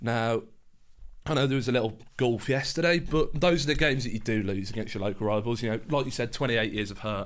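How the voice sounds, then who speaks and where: Very fast speech from a man at medium pitch, ordinary pitch variation, and audible room echo. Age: 20s. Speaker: football podcast co-host. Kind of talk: casual chat. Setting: studio.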